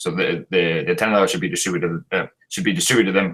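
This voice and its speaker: A man speaks with a Spanish accent at a fairly low pitch. His pitch swings very widely. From Chile. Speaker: Marxist debater. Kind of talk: debate. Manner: halting, stumbling over words.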